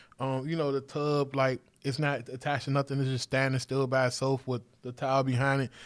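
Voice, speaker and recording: Fairly quick speech from a man at a medium pitch. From Washington, D.C. area. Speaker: entrepreneur. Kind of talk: interview. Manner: animated.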